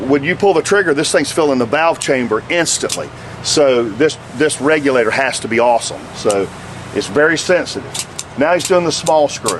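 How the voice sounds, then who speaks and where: Over noticeable background noise, a man with a fairly high pitch keeps his loudness very even while his intonation stays lively. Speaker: paintball product tech presenter. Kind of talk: tutorial. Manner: fast; halting, repeats words.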